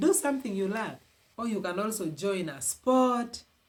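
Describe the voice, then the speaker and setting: An animated voice comes through in a Ugandan accent. Background noise is noticeable. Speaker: relationship advice vlogger. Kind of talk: motivational advice talk.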